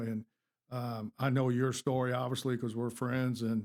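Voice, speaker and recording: Intonation monotone and flat, a man talks at medium pitch and a moderate pace. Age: 50s. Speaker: sheriff candidate, law enforcement officer. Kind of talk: casual interview. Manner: halting.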